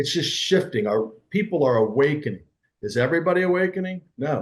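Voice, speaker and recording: An ordinary speaking voice, a man at a moderate pace with lively intonation. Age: 60s. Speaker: entrepreneur and personal growth coach. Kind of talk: interview conversation.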